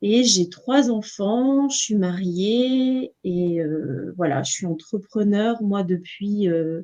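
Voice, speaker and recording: A woman at medium pitch talks at a very slow pace with lively intonation and hardly any pauses. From western France, Nantes region. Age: 40s. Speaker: entrepreneur, numerologist. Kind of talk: interview. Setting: live stream. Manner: hesitant, many fillers.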